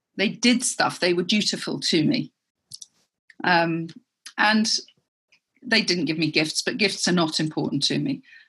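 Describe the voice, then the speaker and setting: Speaking at a fairly slow pace with an English accent, this voice has lively intonation, very even loudness, and long, frequent pauses. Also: woman, fairly low pitch for a woman. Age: 50s. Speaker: entrepreneur. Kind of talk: interview.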